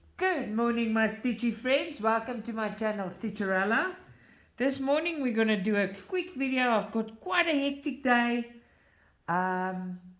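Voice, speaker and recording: Audible room echo surrounds a woman speaking fairly slowly with a non-native accent. Her fairly high voice has lively intonation. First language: not English. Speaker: craft video creator. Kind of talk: tutorial. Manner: halting.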